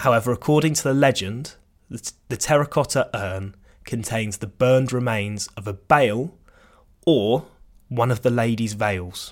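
On a very clean recording with a silent background, a man with a normal speaking voice talks at a moderate pace and medium pitch with ordinary pitch variation. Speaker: cricket podcaster. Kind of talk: history documentary narration. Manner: measured, storytelling delivery with dry wit; clear, formal, scripted pacing.

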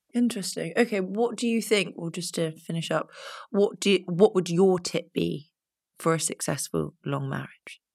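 A woman's fairly low voice with vocal fry and ordinary pitch variation, on a very clean recording with a silent background. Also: moderate pace. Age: 20s. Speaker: podcast host. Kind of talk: interview. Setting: studio.

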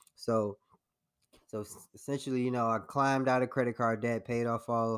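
Speaking in monotone, flat intonation, a man with an American accent moves at a fairly quick pace. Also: very clean recording, silent background. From Chicago south suburbs (Harvey, Illinois). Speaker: accountant and investor. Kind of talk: interview.

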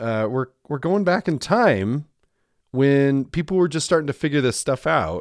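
Very wide pitch swings at a moderate pace, with dry, close sound and no echo. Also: man. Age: 40s. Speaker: podcast host. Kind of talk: casual chat.

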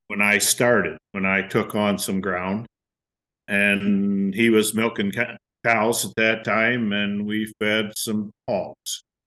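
A man speaks very slowly at a fairly low pitch, with monotone, flat intonation and a bright, sharp tone. The sound is dry and close with no echo, against a quiet background. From US Midwest, northwest Ohio. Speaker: farmer. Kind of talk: interview.

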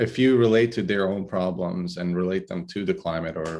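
This man's pitch is very deep and low, with ordinary variation. He talks at a moderate pace. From southern Italy (Brindisi, Adriatic coast). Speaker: climatologist. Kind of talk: interview. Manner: halting, many fillers.

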